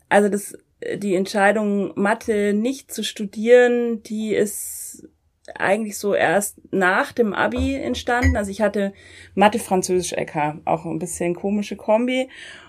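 With an ordinary speaking voice, a woman talks at a fairly slow pace, her medium pitch showing ordinary variation, on a very clean recording with a silent background. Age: 30s. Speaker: politician. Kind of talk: interview. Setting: coworking space.

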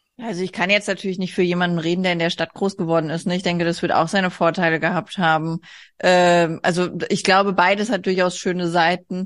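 Over a quiet background, a woman with a fairly low pitch talks at a fairly quick pace in a flat, monotone delivery. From Hesse, Germany (rural). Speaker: artist. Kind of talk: casual interview. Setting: video call.

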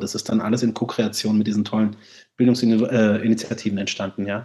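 This man's voice sits at a medium pitch and moves at a moderate pace. His tone is dark and mellow. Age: 40s. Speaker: festival organizer and musician. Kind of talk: casual chat.

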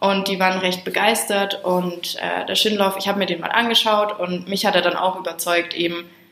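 There is audible room echo as a woman speaks at a medium pitch and moderate pace. Her intonation stays monotone and flat. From Franconia, Germany. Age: 20s. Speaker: hotel trainee. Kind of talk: interview.

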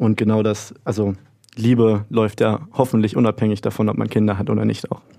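Speaking at a fairly quick pace, a man keeps a fairly low pitch and a flat, monotone intonation. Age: 20s. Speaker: student radio host. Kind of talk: casual discussion.

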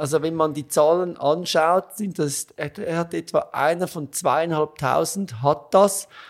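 A man with a Swiss accent speaks at a fairly slow pace in a high pitch with ordinary pitch variation, in a very clean recording with a silent background. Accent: noticeable Swiss. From Switzerland. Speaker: gastroenterologist. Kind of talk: interview.

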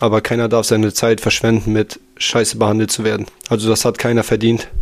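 A man's very fast, monotone delivery with flat intonation over noticeable background noise. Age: 20s. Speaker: host's boyfriend. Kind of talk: casual chat.

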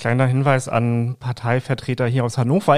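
A man speaks at a medium pitch. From Lower Saxony, Langenhagen near Hanover. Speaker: political podcast host, journalist. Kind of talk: interview.

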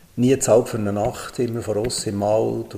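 Flat, monotone male speech, fairly low in pitch, at a moderate pace over noticeable background noise. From Switzerland, Bern area. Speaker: travel company CEO. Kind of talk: interview. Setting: studio.

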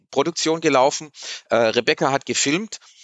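At a moderate pace, a normal speaking voice carries ordinary pitch variation. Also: man. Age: 50s. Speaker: PR manager. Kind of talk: casual interview. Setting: studio.

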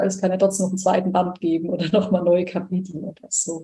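A dark, mellow, somewhat breathy voice at a moderate pace, with monotone, flat intonation. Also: woman. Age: 20s. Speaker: nurse and coach. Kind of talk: interview.

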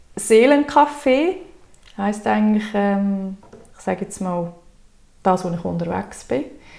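Using a dark, mellow tone at a medium pitch, a woman speaks at a very slow pace with lively intonation and long, frequent pauses. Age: 30s. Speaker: wellbeing coach. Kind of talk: interview.

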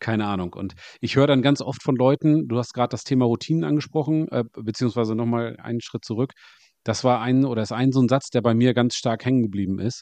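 A man's very fast speech at medium pitch, dark and mellow in tone, with ordinary pitch variation, a dry, close sound with no echo, and a quiet background. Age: 40s. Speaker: podcast host. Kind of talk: casual interview chat.

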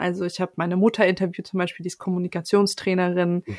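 A woman speaks fairly quickly in an unremarkable speaking voice at a medium pitch. The sound is dry and close, with no echo. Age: 20s. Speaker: podcast editor. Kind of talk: casual chat.

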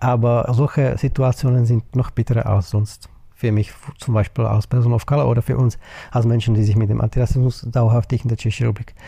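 Talking at a fairly quick pace, a man keeps a monotone, flat intonation. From Czech Republic. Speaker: anti-racism activist. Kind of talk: interview. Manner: hesitant, with fillers.

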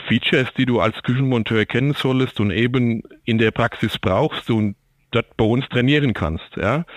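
A man's normal speaking voice at medium pitch, fairly slow, with ordinary pitch variation and very even loudness. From Germany, Aschaffenburg (Lower Franconia). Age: 50s. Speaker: logistics manager and kitchen installation expert. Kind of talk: interview. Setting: remote connection, not in studio. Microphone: sounds different from studio.

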